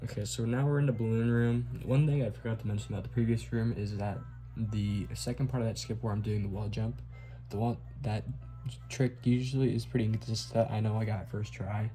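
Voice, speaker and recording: Fairly quick male speech with music in the background. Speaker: speedrunner. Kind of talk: tutorial. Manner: casual.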